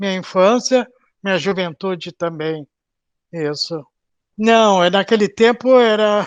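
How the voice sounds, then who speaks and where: Pausing long and often, a man speaks at a fairly slow pace in a high pitch with ordinary pitch variation. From southern Brazil, Porto Alegre. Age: 70s. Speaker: retired bank worker, Covid-19 survivor. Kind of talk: oral history interview. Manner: halting.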